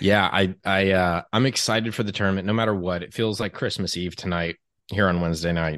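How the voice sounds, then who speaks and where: Against a quiet background, a man with a very deep, low pitch and ordinary pitch variation talks at a fairly quick pace. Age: 30s. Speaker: college basketball podcaster. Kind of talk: casual chat. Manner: animated.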